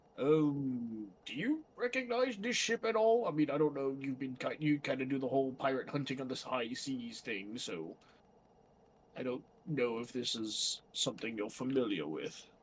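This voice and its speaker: Using a put-on character voice, a man talks with lively intonation at medium pitch. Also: moderate pace. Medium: actual play.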